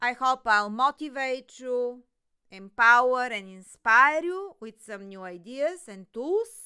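A woman speaks with lively intonation and big swings in loudness, on a very clean recording with a silent background. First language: not English. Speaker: podcast host, business coach. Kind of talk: solo podcast monologue.

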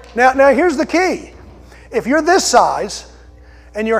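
Speaking at a moderate pace, a man uses an extremely high pitch with very wide swings, in an American accent. Noticeable background noise runs underneath. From Delaware County, Pennsylvania (Philadelphia area). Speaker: pastor. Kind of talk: sermon.

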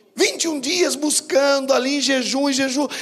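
A man talks fairly slowly. Noticeable background noise is present throughout. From Brazil, São Paulo state interior. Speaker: bishop, preacher. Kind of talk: sermon. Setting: church with congregation. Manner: animated.

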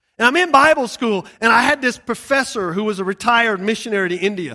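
A man's raised, projected voice, bright and sharp in tone, with a Southern US accent, on a very clean recording with a silent background. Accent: Southern US (Georgia). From US South, Georgia. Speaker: missionary preacher. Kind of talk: sermon. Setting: church service with audience.

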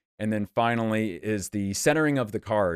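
A man with an ordinary speaking voice talks at medium pitch and a moderate pace. The very clean recording has a silent background and a dry, close sound with no echo. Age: 30s. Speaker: YouTuber and former attorney. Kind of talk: casual interview.

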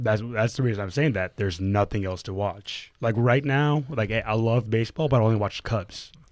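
A man with a normal speaking voice of medium pitch talks at a fairly quick pace with hardly any pauses and ordinary pitch variation, on a very clean recording with a silent background. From Atlanta, US South. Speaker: podcast co-host. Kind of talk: casual chat. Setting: studio.

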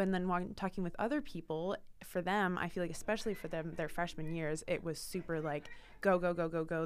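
A woman with an American accent talks at a very fast pace and a fairly low pitch, with fairly even intonation, in a very clean recording with a silent background. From Portland, Oregon, US Pacific Northwest. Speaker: student writer. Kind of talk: casual interview.

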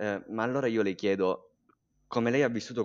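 A man talks at a very fast pace with fairly even intonation. The background is quiet, and the sound is dry and close with no echo. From Sicily, Catania province. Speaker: podcast co-host. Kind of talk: interview.

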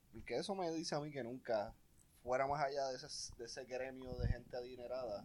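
Using a normal speaking voice, a man talks at a fairly quick pace and medium pitch, with ordinary pitch variation. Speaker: podcast guest. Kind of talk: casual chat.

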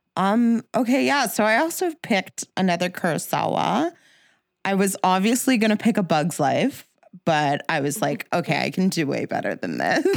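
On a very clean recording with a silent background and a dry, close sound without echo, a woman speaks with vocal fry and very wide pitch swings. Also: medium pitch for a woman, moderate pace. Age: 30s. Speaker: film podcast co-host. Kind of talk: casual chat.

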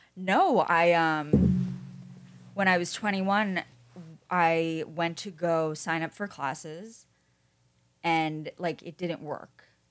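Against background music, a woman with an American accent talks at a very slow pace with long, frequent pauses, fairly low pitch, fairly even intonation and big swings in loudness. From New York. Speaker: podcast host. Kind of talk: casual chat. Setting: studio.

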